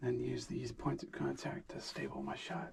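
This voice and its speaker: A man speaks over noticeable background noise. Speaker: hunting vlogger. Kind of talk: vlog narration. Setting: outdoors in a hunting blind.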